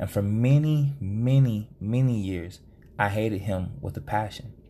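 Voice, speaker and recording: A man speaks in a plain, everyday voice at a medium pitch and a moderate pace. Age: 30s. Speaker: podcast host. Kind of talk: solo podcast monologue.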